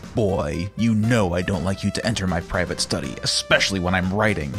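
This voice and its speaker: Against clear music in the background, a man growls in a put-on character voice with a very deep, low pitch at a fairly quick pace. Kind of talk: reading fiction. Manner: growling, angry.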